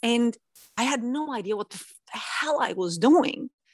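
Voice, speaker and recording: The background is quiet as a woman talks with a Norwegian accent. Her voice sounds dry and close, with no echo. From Norway. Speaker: singer-songwriter and music producer. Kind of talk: interview.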